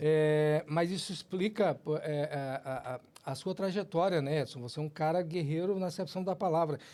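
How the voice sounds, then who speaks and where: Over a silent background in a very clean recording, a man talks at a moderate pace in a fairly high pitch, with ordinary pitch variation and a dark, mellow tone. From Brazil, Ceará, raised in Gurupi (Tocantins). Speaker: podcast host. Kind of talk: podcast interview.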